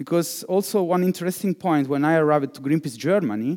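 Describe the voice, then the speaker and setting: A man with an Italian accent and a dark, mellow tone is heard on a very clean recording with a silent background. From Italy. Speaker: digital fundraiser. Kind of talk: conference keynote. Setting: conference hall with live audience.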